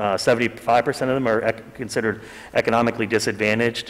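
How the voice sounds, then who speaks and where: Using an ordinary speaking voice with an American accent, a man talks at a fairly quick pace and a medium pitch. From Pittsburgh, western Pennsylvania; Pennsylvania. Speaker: economic development consultant; consultant presenting to council. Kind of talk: presentation. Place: meeting room.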